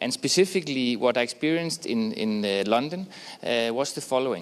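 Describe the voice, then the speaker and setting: The speaker has a non-native accent and talks at a fairly quick pace with very wide pitch swings. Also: man. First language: not English. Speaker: sports organization representative. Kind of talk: conference presentation. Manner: fast.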